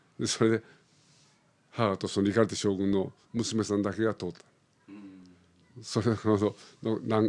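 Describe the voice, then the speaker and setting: Against a quiet background, a man talks at a fairly slow pace with fairly low pitch. His intonation is monotone and flat, with long, frequent pauses. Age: 70s. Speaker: opera artistic director. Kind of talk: interview. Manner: casual, meandering with fillers.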